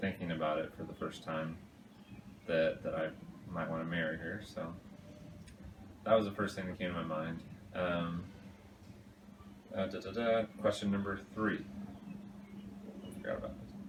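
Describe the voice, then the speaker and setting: Mumbled speech at a moderate pace, with fairly even intonation, long and frequent pauses, and audible room echo. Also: man, very deep, low pitch for a man. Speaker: fiancé answering couple questions. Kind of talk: casual vlog. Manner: mumbling; halting.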